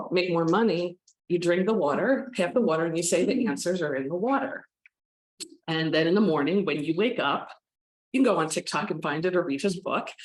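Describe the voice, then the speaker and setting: At a fairly quick pace, a woman with an American accent speaks in a fairly low pitch with lively intonation. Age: 60s. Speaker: psychic medium. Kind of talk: talk to an audience.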